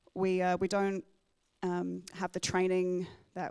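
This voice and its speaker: A woman with a slight English accent speaks at a moderate pace, her fairly low pitch paired with a dark, mellow tone. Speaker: military photographer. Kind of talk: Q&A talk at club meeting. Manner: halting, many fillers.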